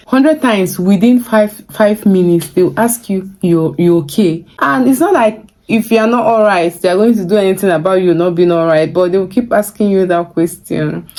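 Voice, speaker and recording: Barely pausing, a woman with a Nigerian accent talks at medium pitch and a moderate pace, her loudness very even and her pitch varying in an ordinary way. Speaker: vlogger. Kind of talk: vlog advice talk.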